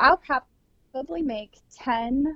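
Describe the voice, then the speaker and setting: With an American accent, a woman talks with ordinary pitch variation. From US Midwest, South Dakota. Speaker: hunting lodge owner. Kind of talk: interview.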